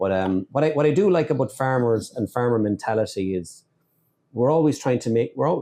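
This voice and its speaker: A man with an Irish accent, medium pitch, a dark, mellow tone, lively intonation, and a fairly quick pace. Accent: Irish accent, noted by others. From Ireland. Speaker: podcast host, dairy business. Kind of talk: casual interview chat. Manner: halting, repeats words.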